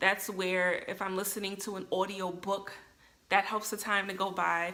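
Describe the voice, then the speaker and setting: Hers is a plain, everyday voice at a medium pitch. The woman keeps a moderate pace. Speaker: vlogger. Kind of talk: casual vlog monologue. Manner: many filler ums.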